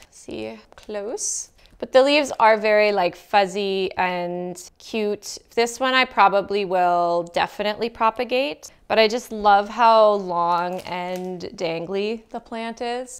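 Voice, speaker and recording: A woman speaks at a very slow pace with hardly any pauses, her loudness swinging widely. The recording is very clean, with a silent background. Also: medium pitch for a woman, ordinary pitch variation. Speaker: plant content creator. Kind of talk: casual haul video talk. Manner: casual, filler-heavy.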